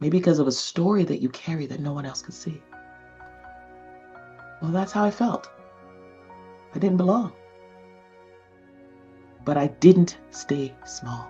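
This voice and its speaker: Over music in the background, a woman with a very deep, low pitch talks at a fairly slow pace, leaving long, frequent pauses. Her intonation is lively, and her loudness swings widely. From Nigeria. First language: non-English (Nigerian). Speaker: communication coach. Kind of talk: motivational talk to camera.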